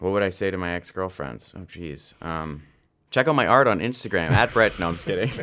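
A man with a very deep, low voice is heard on a very clean recording where the background is silent. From Canada (London, Ontario). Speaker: actor and artist. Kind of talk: casual interview chat.

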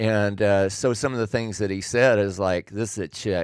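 A man with a plain, everyday voice speaks at a fairly low pitch and moderate pace with fairly even intonation, on a very clean recording with a silent background and a dry, close sound with no echo. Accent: American. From Oregon, Willamette Valley. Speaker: host's father. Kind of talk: casual chat.

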